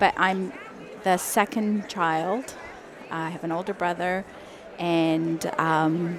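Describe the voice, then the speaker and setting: Over crowd noise in the background, a woman with a fairly low pitch speaks very slowly with fairly even intonation. She leaves long, frequent pauses. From UK (born in Iran, left at five). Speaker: dental hygienist and business founder. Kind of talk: podcast interview. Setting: trade show booth.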